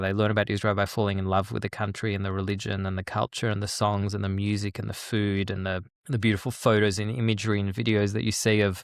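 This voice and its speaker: In an Australian accent, a man talks at a very fast pace with a fairly low pitch and monotone, flat intonation, in a very clean recording with a silent background. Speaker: peace educator and author. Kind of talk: interview. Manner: halting, repeats words.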